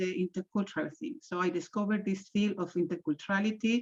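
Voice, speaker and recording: A woman with a strong Spanish accent talks at a medium pitch with ordinary pitch variation, sounding somewhat breathy in a dry, close sound with no echo. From Chile. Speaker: intercultural trainer and coach. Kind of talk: webinar presentation. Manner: halting, many fillers.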